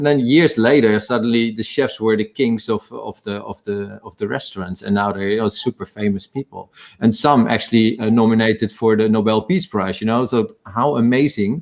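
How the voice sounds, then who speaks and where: A man speaks in a medium pitch with a Dutch accent and ordinary pitch variation. His moderate pace has hardly any pauses. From Netherlands. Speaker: spirits company executive, ex-bartender. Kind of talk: panel talk in a live online session. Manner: halting, with many fillers and restarts.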